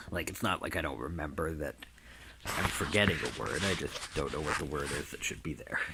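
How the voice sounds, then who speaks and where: Over noticeable background noise, a man with a very deep, low voice talks at a fairly quick pace. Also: ordinary pitch variation. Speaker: dog owner and trainer. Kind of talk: casual video narration. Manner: halting, many fillers and word searches; sometimes loses words due to brain damage.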